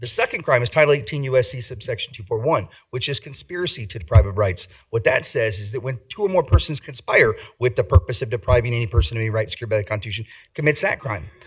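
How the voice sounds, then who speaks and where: The speech runs at a very fast pace, somewhat breathy, with big swings in loudness. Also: man, medium pitch for a man, lively intonation. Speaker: civil rights litigator. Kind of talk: public comment at council meeting.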